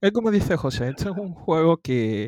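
A man speaks at a fairly slow pace with ordinary pitch variation. The recording is very clean, dry and close, with a silent background and no echo. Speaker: podcast co-host. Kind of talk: casual chat. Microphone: new microphone.

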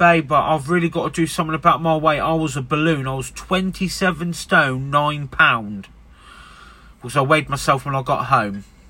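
An English accent in a bright, sharp tone, moderate in pace, with ordinary pitch variation. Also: man. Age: 30s. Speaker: podcaster. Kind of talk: casual monologue. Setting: in a van.

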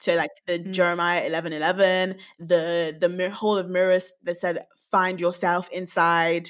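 A woman speaks at a fairly slow pace in a fairly low pitch. The recording is very clean, with a silent background. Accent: British. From UK. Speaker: podcast co-host. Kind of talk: casual chat.

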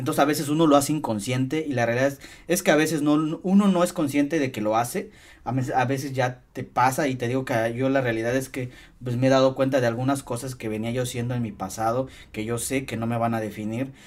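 A man with a plain, everyday voice talks at medium pitch and a fairly quick pace, using ordinary pitch variation. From Mexico, Hidalgo (Tasquillo). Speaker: podcast host. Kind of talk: casual interview chat.

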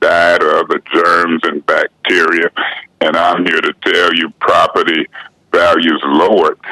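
The sound is dry and close with no echo as a man speaks at a fairly slow pace. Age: 60s. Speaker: city councilman. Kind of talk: casual interview.

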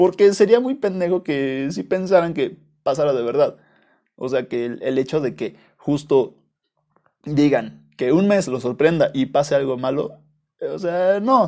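The voice has a dark, mellow tone and lively intonation, moving at a fairly slow pace with long, frequent pauses against a quiet background. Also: man, fairly high pitch for a man. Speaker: podcast host. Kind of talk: casual monologue. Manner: halting, with frequent repetitions. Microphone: new small microphone.

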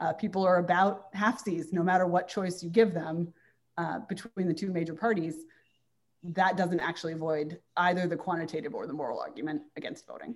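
A woman with a General American accent speaks at a fairly quick pace and fairly low pitch. It is an ordinary speaking voice, with ordinary pitch variation. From Washington, D.C. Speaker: magazine editor. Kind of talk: interview.

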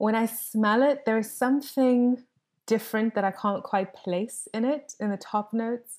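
Her intonation is fairly even. The woman's voice is fairly high in pitch. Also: moderate pace. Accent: South African. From South Africa. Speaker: fragrance content creator. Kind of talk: casual chat. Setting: video call. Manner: soothing.

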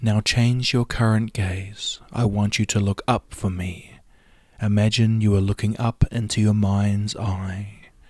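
Speaking at a fairly slow pace, a man with a fairly low pitch keeps a soothing, calm tone and monotone, flat intonation in a dry, close sound with no echo. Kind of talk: guided hypnosis induction. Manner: slow, soothing, hushed and rhythmic, with long pauses; calm, measured count-ins and repeated suggestions in a hypnotic cadence.

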